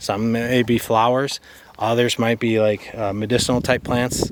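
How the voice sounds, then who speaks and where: Over noticeable background noise, a man talks at a fairly slow pace and medium pitch. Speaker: homesteader and small video creator. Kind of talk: casual garden tour talk to camera. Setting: outdoors in garden. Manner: rambling with frequent fillers and stumbles.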